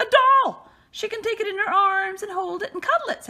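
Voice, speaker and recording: Putting on a squeaky character voice, a woman speaks at a fairly quick pace in an extremely high pitch. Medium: read story. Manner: bossy, schoolmasterly.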